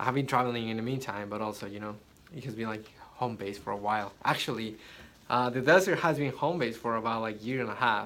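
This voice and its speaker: With a non-native accent and a bright, sharp tone, a man talks at a very fast pace over audible room echo. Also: medium pitch for a man, ordinary pitch variation. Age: 20s. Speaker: photographer and social media influencer. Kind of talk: unscripted vlog monologue. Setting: inside a yurt. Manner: halting, with repeated words.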